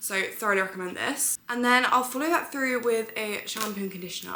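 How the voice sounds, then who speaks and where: A woman with a British accent talks at a very fast pace with ordinary pitch variation. Noticeable background noise and audible room echo are present. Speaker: beauty and lifestyle vlogger, model. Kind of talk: beauty tutorial vlog. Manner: chatty, casual.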